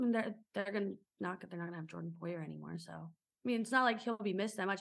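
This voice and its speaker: Vocal fry runs through this very fast speech in an American accent, with ordinary pitch variation. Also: woman. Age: 20s. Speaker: sports podcast co-host. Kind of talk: casual chat.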